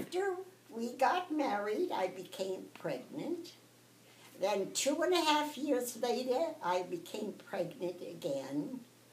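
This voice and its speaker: The speaker uses an American accent, talking at a very slow pace with very wide pitch swings. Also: woman, high pitch for a woman. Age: 80s+. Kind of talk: interview answer.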